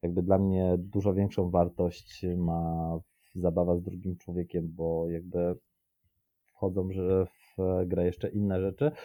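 A man with a very deep, low pitch and a dark, mellow tone talks at a fairly slow pace in a monotone, flat delivery. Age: 30s. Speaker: podcast guest. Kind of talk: casual chat. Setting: video call.

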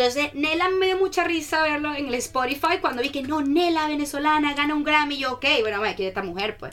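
A woman talks at a fairly quick pace in a high, animated voice. Noticeable background noise runs behind her. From Venezuela, Caracas. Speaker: student ambassador. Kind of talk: casual radio interview. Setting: radio studio.

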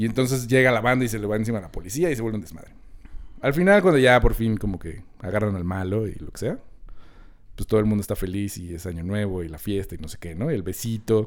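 A man's fairly low voice at a very fast pace, ordinary pitch variation and big swings in loudness. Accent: Mexican. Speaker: film podcast host. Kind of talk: casual chat.

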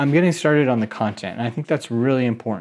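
With lively intonation and a fairly high pitch, this man has a normal speaking voice. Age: 30s. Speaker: podcast host, aspiring online marketer. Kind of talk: solo podcast update. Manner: casual.

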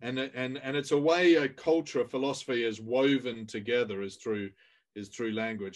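A man with a British accent, moderate pace and ordinary pitch variation against a quiet background. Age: 50s. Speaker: author and leadership coach. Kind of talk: interview podcast. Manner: halting, many fillers.

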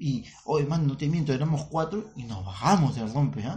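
A man's fairly high voice is somewhat breathy and moves in very wide pitch swings. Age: 30s. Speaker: comedian, podcast co-host. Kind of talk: casual chat.

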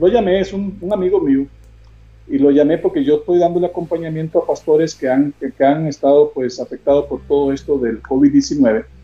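Male speech at a moderate tempo, an unremarkable speaking voice pitched fairly high, its pitch moving in an ordinary way. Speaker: hospital chaplain and bean seller. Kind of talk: interview on a live video stream. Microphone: unstable internet connection.

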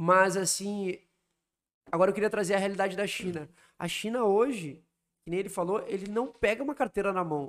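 A man speaks at a fairly quick pace in a high voice, broken by long, frequent pauses. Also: ordinary pitch variation. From southern Brazil, Porto Alegre. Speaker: travel miles and credit card mentor. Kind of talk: casual interview chat.

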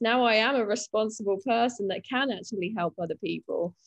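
Speaking with a British accent, a woman's fairly high voice comes through dry and close with no echo. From UK. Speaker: recovering alcoholic sharing her story. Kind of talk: interview, personal testimony.

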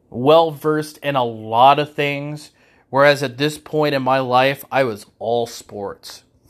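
A man with an American accent and fairly even intonation at a very slow pace, in a very clean recording with a silent background. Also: fairly high pitch for a man. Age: 40s. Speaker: faith podcast host. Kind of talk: personal solo monologue. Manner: halting.

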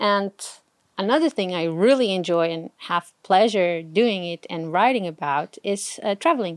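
In a Portuguese accent, a woman speaks at a medium pitch and moderate pace with ordinary pitch variation. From Portugal. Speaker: blogger and engineer. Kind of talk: casual chat.

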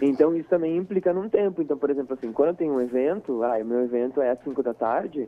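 A man's fairly high voice, very fast in pace, with lively intonation. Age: 20s. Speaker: drag queen and makeup artist. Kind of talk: interview.

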